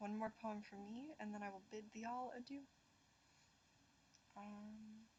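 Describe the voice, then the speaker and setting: A woman's fairly high, somewhat breathy voice at a fairly slow pace, fairly even in intonation, with long, frequent pauses. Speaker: poetry livestream host. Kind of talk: live stream chat with poetry reading. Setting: livestream. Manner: hesitant, many fillers and repeats.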